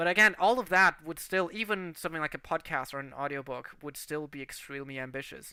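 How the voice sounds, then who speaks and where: A man talks at a very fast pace with hardly any pauses and big swings in loudness. His tone is bright and sharp, on a very clean recording with a silent background. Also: fairly high pitch for a man, ordinary pitch variation. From Germany. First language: Portuguese. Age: 20s. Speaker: animation series creator. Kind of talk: livestream casual chat. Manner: hesitant, many fillers.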